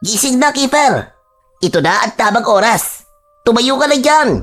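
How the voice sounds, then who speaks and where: Someone speaks in a put-on character voice at a fairly slow pace, pitched fairly high. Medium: audio drama. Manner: playful, teasing, laughing.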